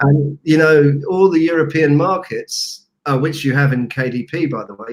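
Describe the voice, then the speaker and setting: A man's voice comes through at a fairly high pitch with ordinary variation. He keeps a moderate pace while music plays behind him. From UK. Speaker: online entrepreneur. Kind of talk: interview.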